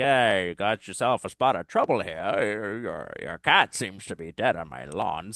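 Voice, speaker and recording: Putting on a character voice with a fairly low pitch, a man talks at a moderate pace with hardly any pauses over a quiet background. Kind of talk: put-on character voice. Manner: casual, blunt.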